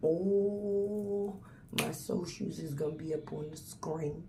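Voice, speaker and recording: Noticeable background noise and audible room echo surround a woman's voice. Her pitch varies in an ordinary way. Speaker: celebrity gossip vlogger. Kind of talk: casual commentary vlog. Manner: soft-spoken.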